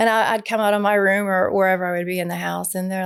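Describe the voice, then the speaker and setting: A fairly quick delivery with a Southern US accent, on a very clean recording over a silent background. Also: woman. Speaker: podcast co-host. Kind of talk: casual chat.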